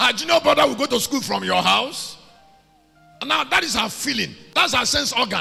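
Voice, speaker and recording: A man speaks in an animated tone at a fairly quick pace, leaving long, frequent pauses, with music in the background. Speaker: preacher. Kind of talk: sermon, preaching to a congregation. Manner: animated, conversational.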